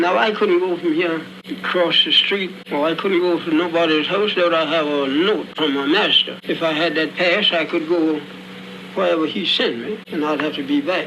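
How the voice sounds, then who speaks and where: A man speaks in a high pitch at a moderate pace with ordinary pitch variation. Noticeable background noise can be heard. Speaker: formerly enslaved person recorded in an oral-history interview. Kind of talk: archival oral-history interview recording. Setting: old crackly archival recording.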